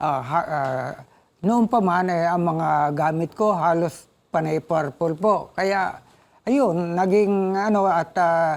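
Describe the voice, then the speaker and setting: A man's high pitch, ordinary pitch variation and very even loudness at a very slow pace, on a very clean recording with a silent background. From Philippines, Pasig. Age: 70s. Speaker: motorcyclist. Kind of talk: interview. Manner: halting.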